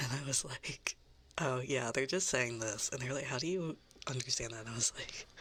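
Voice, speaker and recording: Noticeable background noise sits behind a voice with a slight Southern US accent. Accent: slight Southern American, drawled R's. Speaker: VTuber ASMR streamer. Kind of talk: casual chat. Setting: live stream.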